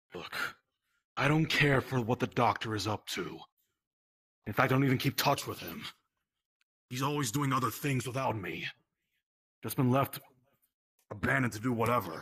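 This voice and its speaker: A man puts on a character voice at a medium pitch. He moves at a moderate pace with long, frequent pauses. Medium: game stream. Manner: dry, sarcastic, dismissive; weary and resentful.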